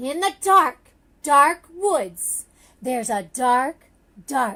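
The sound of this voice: Woman in a put-on character voice, high-pitched and very slow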